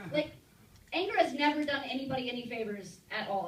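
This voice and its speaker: Very fast and high-pitched, a woman's speech carries lively intonation amid audible room echo and noticeable background noise. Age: 30s. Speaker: stand-up comedian. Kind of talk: stand-up. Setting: stage with audience in a bar.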